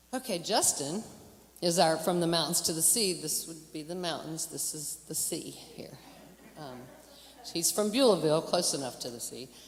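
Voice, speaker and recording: A woman with lively intonation amid audible room echo. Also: moderate pace, big swings in loudness. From western North Carolina, Hickory area. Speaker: emcee at a church concert. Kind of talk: stage introduction. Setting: stage with audience. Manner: halting, with self-corrections.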